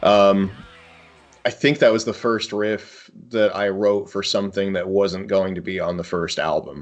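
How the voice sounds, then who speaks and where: A man with an American accent and a normal speaking voice, fairly low in pitch, fairly slow and fairly even in intonation. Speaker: metal musician. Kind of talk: casual interview.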